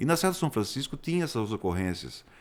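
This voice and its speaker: A man speaks with very wide pitch swings. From Brazil, Sorocaba (São Paulo state). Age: 60s. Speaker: geologist. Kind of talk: interview.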